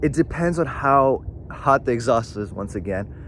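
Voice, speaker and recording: Over noticeable background noise, a man talks in a medium pitch with lively intonation. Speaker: car tuning youtuber. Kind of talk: tutorial. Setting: outdoors. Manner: fast; casual, filler-heavy.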